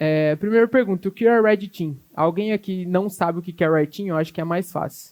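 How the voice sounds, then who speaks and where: A man talks at a moderate pace with ordinary pitch variation, the background quiet. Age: 20s. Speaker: cybersecurity specialist, conference speaker; conference speaker. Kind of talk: conference talk. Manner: halting, many fillers. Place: hall. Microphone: handheld.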